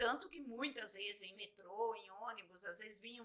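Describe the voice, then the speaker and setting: A woman's fairly high-pitched voice with a bright, sharp tone, a moderate pace and ordinary pitch variation. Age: 50s. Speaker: photographer. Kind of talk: interview. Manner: hesitant, repeats words.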